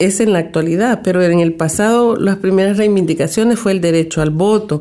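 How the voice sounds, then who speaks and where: Her tone is dark and mellow, at a medium pitch with ordinary pitch variation. The woman speaks at a moderate pace. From El Salvador. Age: 60s. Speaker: gender and migration analyst. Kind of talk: radio interview.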